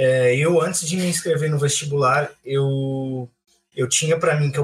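A somewhat breathy man's voice, fairly high in pitch with ordinary pitch variation, at a fairly slow pace. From Francisco Morato, São Paulo state, Brazil. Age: 20s. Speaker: architect. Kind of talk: casual chat.

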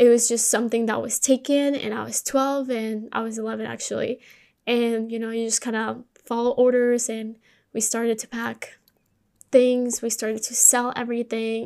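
In a Spanish accent, a woman speaks at a moderate pace with a fairly high pitch, a dark, mellow tone and monotone, flat intonation, on a very clean recording with a silent background. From Colombia. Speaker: podcast host. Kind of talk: personal monologue.

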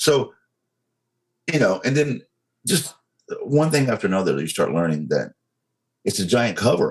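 With a Southern US accent, a man speaks at a moderate pace, leaving long, frequent pauses. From US South, North Carolina. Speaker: social media activist, army veteran. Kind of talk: interview conversation.

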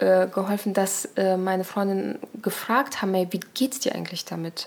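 A woman speaks at a medium pitch with ordinary variation in her pitch. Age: 30s. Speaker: podcast guest sharing personal story. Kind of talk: personal testimony in casual interview. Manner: animated.

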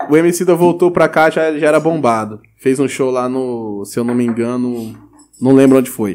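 A man with an unremarkable speaking voice, pitched medium, at a moderate pace. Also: ordinary pitch variation. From Mato Grosso do Sul, Brazil (Pantanal region). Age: 20s. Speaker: rapper. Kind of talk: casual chat.

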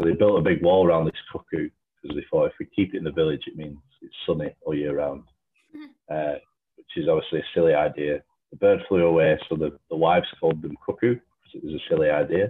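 A man with a Lancashire accent speaks at a very fast pace, his loudness swinging widely. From Lancashire, England. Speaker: gin distillery brand developer. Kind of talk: casual interview.

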